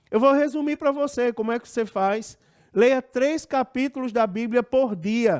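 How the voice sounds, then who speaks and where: A man speaks fairly slowly at an extremely high pitch, his intonation lively. The sound is dry and close with no echo, on a very clean recording with a silent background. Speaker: pastor and Bible school teacher. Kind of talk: Bible lesson.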